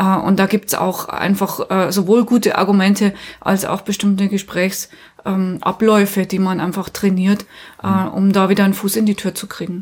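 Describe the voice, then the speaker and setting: Talking at a moderate pace, a woman keeps a medium pitch in a monotone, flat intonation. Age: 40s. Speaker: union trainer. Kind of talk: interview.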